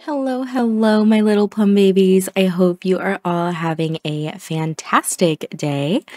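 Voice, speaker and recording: A soft-spoken woman at medium pitch talks at a fairly slow pace with hardly any pauses and lively intonation, in a dry, close sound with no echo. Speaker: gaming video creator. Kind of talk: casual gameplay commentary.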